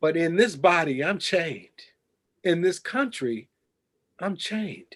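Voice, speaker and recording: A man talks at a fairly slow pace. His high-pitched voice carries lively intonation. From Chicago, West Side. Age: 60s. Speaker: journalist and professor. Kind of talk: interview. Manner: impassioned.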